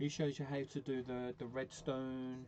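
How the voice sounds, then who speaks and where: With a Birmingham accent, a man speaks at medium pitch in a dark, mellow tone. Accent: broad Brummie. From Birmingham, England. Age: 40s. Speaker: gaming streamer. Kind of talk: casual chat. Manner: halting.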